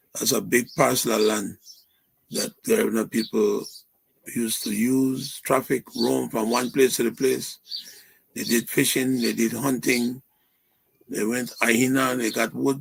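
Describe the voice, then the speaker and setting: Man with vocal fry at a fairly slow pace, fairly even intonation and long, frequent pauses. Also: medium pitch for a man. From Belize, Dangriga. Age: 70s. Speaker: activist and history professor. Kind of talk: interview. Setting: live stream.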